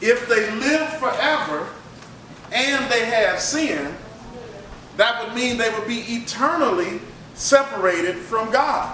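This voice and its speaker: A man with an extremely high pitch uses a raised, projected voice and lively intonation at a very slow pace, with long, frequent pauses. Audible room echo and noticeable background noise fill the recording. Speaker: pastor. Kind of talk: bible study teaching. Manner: conversational, interactive.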